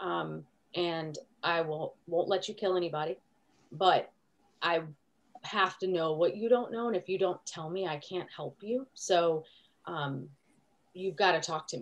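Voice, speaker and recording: This woman's fairly low voice shows ordinary pitch variation and long, frequent pauses. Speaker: critical care nurse preceptor. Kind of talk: class discussion. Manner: fast.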